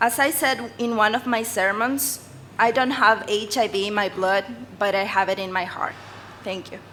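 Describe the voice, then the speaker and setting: Against noticeable background noise, a woman with a fairly high pitch and ordinary pitch variation talks at a moderate pace. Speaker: pastor. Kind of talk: press briefing.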